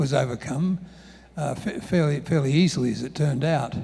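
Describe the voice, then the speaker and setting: A fairly quick, somewhat breathy man's voice, fairly high for a man, dark and mellow in tone, with ordinary pitch variation. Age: 70s. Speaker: professor. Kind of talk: panel discussion. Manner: halting, many repetitions and fillers.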